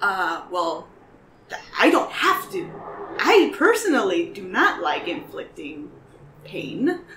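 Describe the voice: A woman's put-on character voice at medium pitch, slow and fairly bright, with big pitch swings and audible room echo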